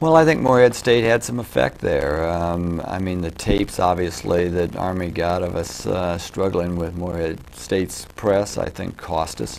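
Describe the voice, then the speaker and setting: Over light background noise, a man with a very deep, low pitch talks at a moderate pace with ordinary pitch variation. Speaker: college basketball coach. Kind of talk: interview. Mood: calm, reflective. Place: studio.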